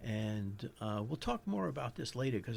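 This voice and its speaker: Moderate pace, in a New York accent. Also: man. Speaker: psychologist podcast host. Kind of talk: educational podcast monologue. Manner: halting, with frequent restarts.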